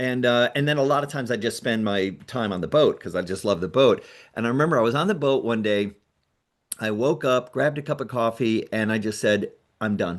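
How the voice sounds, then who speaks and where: The background is quiet. A man at medium pitch talks at a fairly quick pace with ordinary pitch variation. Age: 60s. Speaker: nonprofit founder and pilot. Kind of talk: casual interview. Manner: halting, many fillers and restarts.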